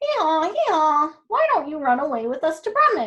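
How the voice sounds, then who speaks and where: A woman uses a put-on character voice. Her pitch sits extremely high. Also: moderate pace. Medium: read story. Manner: braying "hee-haw" before speaking.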